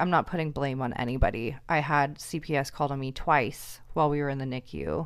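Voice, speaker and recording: A woman with an American accent talks at a fairly quick pace in a very deep, low pitch with vocal fry and ordinary pitch variation. The recording is very clean, with a silent background. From US Pacific Northwest, Seattle. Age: 20s. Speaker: hairstylist and mother. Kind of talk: casual chat.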